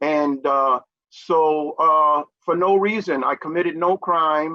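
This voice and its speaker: Speaking very slowly in a New York accent, a man keeps his pitch fairly high. His intonation is fairly even and his loudness very even. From New York City (Manhattan). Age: 60s. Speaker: peer recovery advocate. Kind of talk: interview. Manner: frequent fillers (uh, um).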